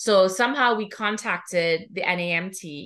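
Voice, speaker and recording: Bright and sharp in tone, a woman speaks with a Trinidadian accent and ordinary pitch variation. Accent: Trinidadian Caribbean. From Trinidad and Tobago. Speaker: music therapist and professor. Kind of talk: podcast interview.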